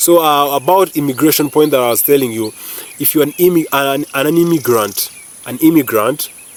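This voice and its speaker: In a Ugandan accent, a man with a fairly high voice speaks at a moderate pace in an animated tone with ordinary pitch variation, over noticeable background noise. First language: not English (Ugandan language). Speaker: YouTuber. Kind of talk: casual vlog commentary. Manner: animated, hesitant with repetitions.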